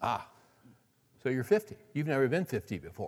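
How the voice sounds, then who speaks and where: This voice moves at a fairly quick pace with very wide swings in pitch. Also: man. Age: 60s. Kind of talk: sermon.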